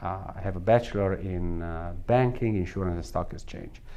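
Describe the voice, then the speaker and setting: A man's fairly low-pitched voice with a strong Italian accent. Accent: thick Italian. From northern Italy. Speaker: salon equipment company executive. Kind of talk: interview.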